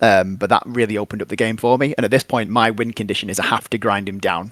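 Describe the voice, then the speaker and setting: The man's speech moves at a very fast clip. His pitch stays fairly even. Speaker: tabletop wargame tournament player. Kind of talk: casual interview.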